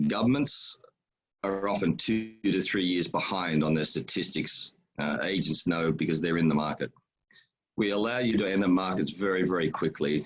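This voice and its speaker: In an Australian accent, a man speaks with a very deep, low pitch and ordinary pitch variation. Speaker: education agency founder. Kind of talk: webinar presentation. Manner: fast.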